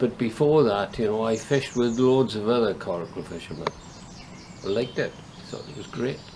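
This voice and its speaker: With a Welsh accent, a man speaks at a medium pitch and fairly quick pace, with ordinary pitch variation, big swings in loudness and noticeable background noise. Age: 70s. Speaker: coracle fisherman. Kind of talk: interview.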